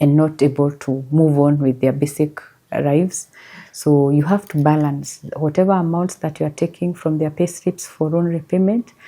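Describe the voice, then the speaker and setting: A soft-spoken woman's very deep, low voice, dark and mellow, at a moderate pace. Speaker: SACCO chief executive. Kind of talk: interview answer.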